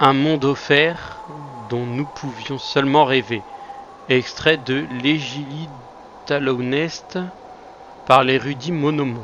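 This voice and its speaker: Delivery is very slow, with long, frequent pauses and fairly even intonation. Noticeable background noise is present. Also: man, fairly high pitch for a man. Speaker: gaming youtuber. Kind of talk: let's play commentary.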